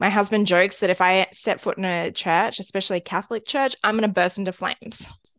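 A woman with an Australian accent talks at a very fast pace and medium pitch, with ordinary pitch variation. The sound is dry and close with no echo, and the background is quiet. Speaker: podcast co-host, stepmom. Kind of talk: casual chat.

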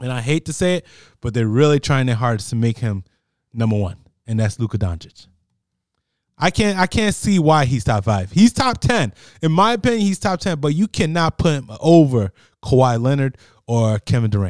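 An American-accented man at a medium pitch with very wide pitch swings, dry and close with no echo, on a very clean recording with a silent background. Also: moderate pace. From New Jersey. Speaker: sports podcast co-host. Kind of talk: casual sports chat.

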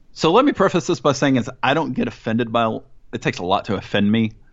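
With an American accent, a man speaks in a plain, everyday voice at medium pitch, his intonation lively. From US South, Mississippi. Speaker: soccer podcast host. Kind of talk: casual chat.

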